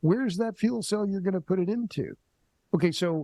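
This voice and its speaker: A man with an unremarkable speaking voice talks at a fairly quick pace, with ordinary pitch variation. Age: 60s. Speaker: energy writer and commentator. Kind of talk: podcast interview.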